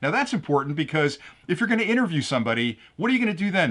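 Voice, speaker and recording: Loud and enthusiastic, a man with a high pitch and a bright, sharp tone talks at a very fast pace with very wide pitch swings. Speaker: tech product reviewer. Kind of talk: product review.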